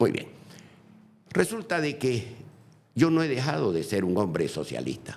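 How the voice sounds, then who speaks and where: A man with vocal fry speaks at a fairly slow pace, his medium pitch rising and falling in very wide swings. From Bolivia. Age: 80s+. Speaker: former politician. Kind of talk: interview. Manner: animated.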